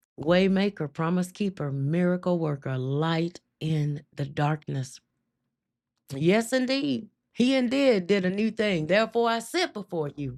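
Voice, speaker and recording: On a very clean recording with a silent background, a woman with a Southern US accent speaks in a fairly low, animated voice with very wide pitch swings. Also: fairly slow pace. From US South, Mississippi. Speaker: faith livestream host. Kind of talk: testimony. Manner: emotional, animated.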